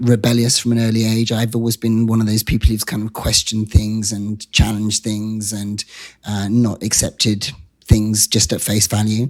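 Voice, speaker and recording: Fairly low in pitch, a man's voice stays in a monotone, flat intonation. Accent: British. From England, Wiltshire. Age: 50s. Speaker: activist and comedian. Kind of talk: interview.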